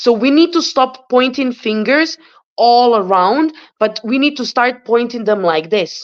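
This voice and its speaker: Against a quiet background, a woman speaks in a high pitch. Her intonation is lively and her pace fairly slow. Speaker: guest. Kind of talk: casual chat. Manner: animated.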